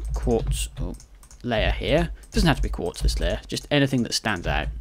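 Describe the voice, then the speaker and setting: The delivery moves at a moderate pace. A British accent can be heard. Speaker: Minecraft let's play builder. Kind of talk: gaming tutorial commentary.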